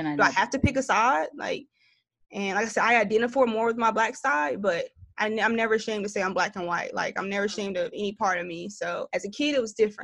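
A woman talks at a very fast pace in a Southern US accent. Her voice sits fairly high. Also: ordinary pitch variation, quiet background. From US South, Greensboro, North Carolina. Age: 20s. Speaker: content creator. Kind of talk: casual chat.

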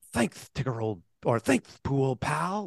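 The speaker uses a put-on character voice pitched low-to-middle. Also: fairly slow pace. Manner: cheerful, bouncy.

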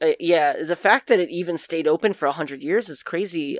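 In an unremarkable speaking voice, a woman talks at medium pitch with lively intonation, recorded in a dry, close sound with no echo. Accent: American. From New Jersey. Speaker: podcast co-host, guest presenter on paranormal topics. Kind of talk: reading researched notes; casual chat.

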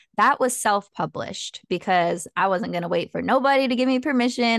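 A woman with a Californian accent and ordinary pitch variation, dry and close with no echo, over a quiet background. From Southern California. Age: 20s. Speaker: self-help author and coach. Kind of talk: casual interview.

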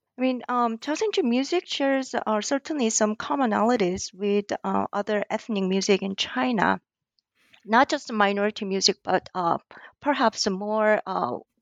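Someone with a Korean accent talks at a moderate pace. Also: woman. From South Korea. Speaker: ethnomusicology lecturer and author. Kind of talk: interview. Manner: hesitant, many fillers.

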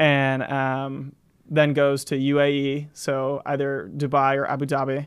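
A man with an American accent, flat and monotone, at a fairly slow pace. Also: fairly high pitch for a man. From US South, Florida Panhandle (Gulf Breeze). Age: 20s. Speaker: student government leader. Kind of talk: casual interview chat.

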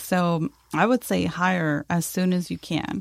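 With an American accent and fairly even intonation, the voice has a dry, close sound with no echo on a very clean recording against a silent background. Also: woman. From Texas, El Paso. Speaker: marketing agency owner. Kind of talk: interview. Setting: studio.

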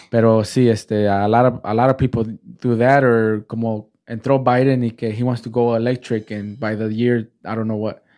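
A man talks at a moderate pace with hardly any pauses, in a medium pitch. His tone is dark and mellow, and his intonation is monotone and flat. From Mexican-American, US. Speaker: podcast host. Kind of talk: casual chat. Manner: stutters, halting when recalling.

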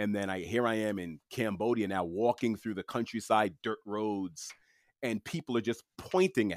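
A man with a fairly low voice speaks at a moderate pace with ordinary pitch variation, in a dry, close sound with no echo and a very clean recording over a silent background. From Queens, New York City. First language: French. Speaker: podcast host and author. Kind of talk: casual interview chat.

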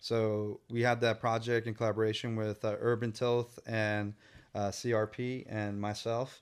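Very clean recording, silent background, and a man at a medium pitch in a Northern California accent. He talks at a fairly slow pace in a monotone, flat intonation. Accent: Northern California American. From San Francisco Bay Area (Tenderloin, Richmond). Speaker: muralist and artist. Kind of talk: casual interview. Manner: halting, many fillers and repeats.

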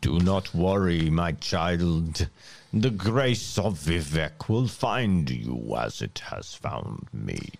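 A man's put-on character voice, very deep and low in pitch, at a very slow pace. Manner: gentle, reassuring.

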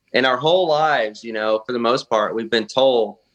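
With a Southern US accent, a man talks at a moderate pace and medium pitch, his pitch varying in an ordinary way. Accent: US South. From southern Arkansas. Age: 30s. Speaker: bass and crappie angler. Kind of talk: casual chat.

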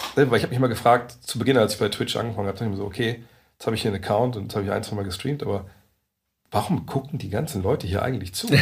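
A man talks at a very fast pace in a medium pitch, somewhat breathy, with ordinary pitch variation. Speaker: NBA journalist. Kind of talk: casual chat. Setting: meeting room in coworking space.

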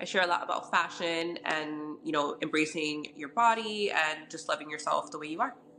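Noticeable background noise sits behind this woman's voice. She talks at a fairly quick pace with a very deep, low pitch. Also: ordinary pitch variation. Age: 30s. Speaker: fashion content creator. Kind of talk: personal testimony in interview. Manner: halting, many fillers.

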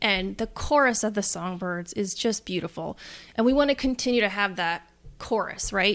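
A woman talks at a moderate pace with a medium pitch, captured in a very clean recording against a silent background. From US Northeast, Westchester County, New York. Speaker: business founder, land management. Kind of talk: interview.

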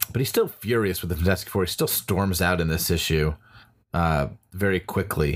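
Very deep, low male voice, recorded very cleanly against a silent background. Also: ordinary pitch variation, moderate pace. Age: middle-aged. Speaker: comedy performer and podcast co-host. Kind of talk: casual chat.

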